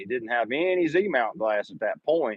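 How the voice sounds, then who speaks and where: This man speaks with a Southern US accent. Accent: southern drawl. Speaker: photography YouTuber. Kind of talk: live stream Q&A. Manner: casual, conversational.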